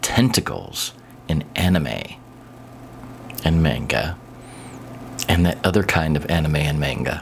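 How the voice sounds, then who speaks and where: A quiet man with a Midwestern accent, over noticeable background noise. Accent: American Midwest. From US Midwest, Kansas City. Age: old. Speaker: YouTuber. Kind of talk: casual monologue. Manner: quiet, hushed.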